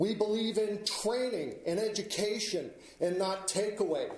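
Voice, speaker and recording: With audible room echo, a man speaks at a fairly slow pace in a high pitch. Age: 60s. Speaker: member of the public speaking at a hearing. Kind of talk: public hearing speech. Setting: public hearing before county board. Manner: formal.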